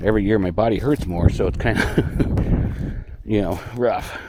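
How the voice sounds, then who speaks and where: A man's fairly low voice over noticeable background noise, with audible room echo. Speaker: mushroom forager vlogger. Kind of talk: casual walking vlog narration. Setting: outdoors in the woods.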